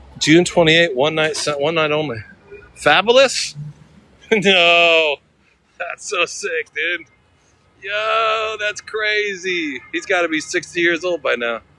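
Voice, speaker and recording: A man's high, bright, sharp voice with an American accent, very slow and broken by long, frequent pauses, with lively intonation. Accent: slight California accent, cleaned up. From California, Sacramento area. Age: 50s. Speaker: live streamer. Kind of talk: casual live stream chat.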